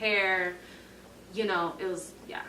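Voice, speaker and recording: A woman talks at a moderate pace with monotone, flat intonation, through noticeable background noise and audible room echo. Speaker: university student. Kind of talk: casual chat.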